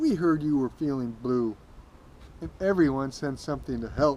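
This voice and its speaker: A put-on character voice at a low-to-middle pitch and moderate pace, over clear background noise. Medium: read story.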